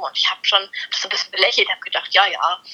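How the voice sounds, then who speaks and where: A woman talks at a very fast pace with music playing in the background. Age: 20s. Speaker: dog trick trainer and law trainee. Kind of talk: casual interview.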